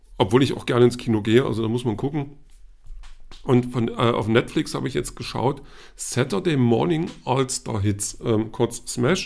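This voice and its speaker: There is vocal fry in this man's medium-pitched voice, which moves at a moderate pace with ordinary pitch variation. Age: 40s. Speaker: podcast host, film and comics reviewer. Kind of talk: solo monologue podcast. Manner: hesitant, many fillers.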